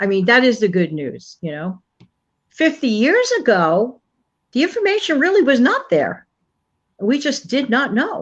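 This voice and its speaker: A woman speaks at a fairly slow pace in a high voice, her pitch swinging very widely between long, frequent pauses. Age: 60s. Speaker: channel contributor. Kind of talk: casual chat.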